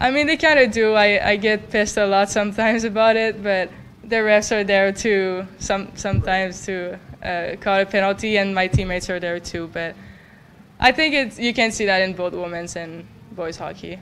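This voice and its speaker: A woman with a French Canadian accent, medium pitch, ordinary pitch variation and a moderate pace. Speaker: college hockey goalie. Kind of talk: press conference. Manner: halting.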